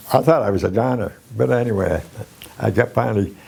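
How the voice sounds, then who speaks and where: With noticeable background noise, a man of fairly low pitch talks at a fairly quick pace. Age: 80s+. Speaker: war veteran. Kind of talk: interview answer.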